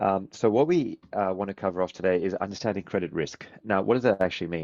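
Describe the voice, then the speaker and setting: Against a quiet background, a man with a fairly low pitch and ordinary pitch variation talks at a very fast pace in a dry, close sound with no echo. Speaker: software company co-founder and CEO. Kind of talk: webinar presentation. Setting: online webinar.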